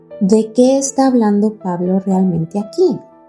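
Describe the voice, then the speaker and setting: A woman speaks at a fairly slow pace with music playing in the background. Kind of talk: contemplative podcast reflection. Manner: conversational, casual, reflective.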